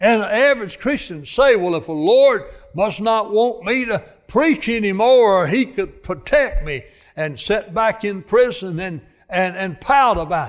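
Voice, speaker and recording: At a fairly slow pace, a man with a high voice and a Southern US accent speaks with big swings in loudness. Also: lively intonation. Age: 80s+. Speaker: preacher. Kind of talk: sermon. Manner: halting.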